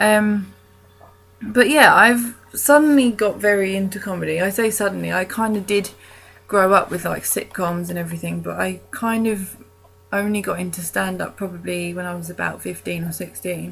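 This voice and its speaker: A woman with a British accent, her loudness swinging widely. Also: moderate pace. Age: 20s. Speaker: vlogger. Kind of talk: casual vlog monologue. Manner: hesitant, many ums.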